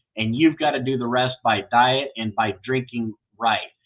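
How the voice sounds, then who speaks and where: A man with an American accent speaks in an ordinary speaking voice at a moderate pace, with medium pitch and fairly even intonation. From Iowa, US Midwest. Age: 40s. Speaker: kidney transplant advocate host. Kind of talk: interview.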